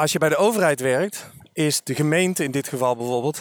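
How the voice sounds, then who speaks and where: A man speaks in an ordinary speaking voice, fairly high in pitch with ordinary pitch variation, at a moderate pace on a very clean recording with a silent background. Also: dry, close sound with no echo. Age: 40s. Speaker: career coach and trainer. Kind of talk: casual interview. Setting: outdoors walking.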